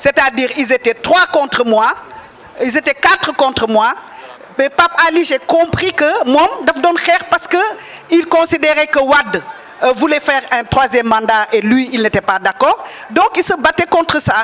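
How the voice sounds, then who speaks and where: Over noticeable background noise, a woman with a high pitch talks with lively intonation at a very even loudness. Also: fairly slow pace. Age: 70s. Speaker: political figure. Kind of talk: speech at a press gathering.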